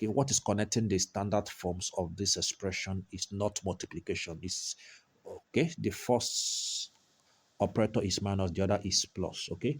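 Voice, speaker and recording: The voice is somewhat breathy, with ordinary pitch variation. The recording is very clean with a silent background and a dry, close sound with no echo. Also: man. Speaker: maths tutor. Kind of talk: tutorial. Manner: slow, deliberate.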